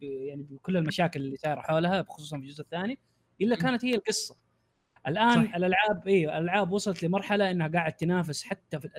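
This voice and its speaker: A man talks at a very fast pace in a high pitch. His pitch variation is ordinary. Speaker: YouTuber. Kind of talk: casual podcast chat.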